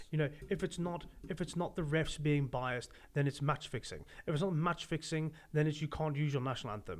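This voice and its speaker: A man speaks in an animated tone with ordinary pitch variation. The recording is very clean, with a silent background. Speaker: rugby podcast co-host. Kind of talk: casual chat. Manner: loud.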